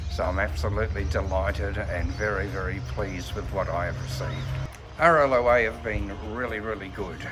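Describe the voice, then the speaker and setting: Audible room echo and music sit behind a man with an Australian accent. His fairly low voice moves at a fairly quick pace with very wide pitch swings. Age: 60s. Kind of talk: testimonial interview. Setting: outdoors in a park. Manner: hesitant, with frequent fillers.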